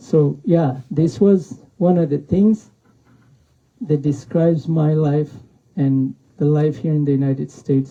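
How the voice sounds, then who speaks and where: A man speaks at a very slow pace with a dark, mellow tone and a somewhat breathy quality. His pitch sits fairly high for a man and moves with ordinary variation. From Pakistan, Afghan refugee camp. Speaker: author. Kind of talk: book talk with reading. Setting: bookstore event with audience. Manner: halting.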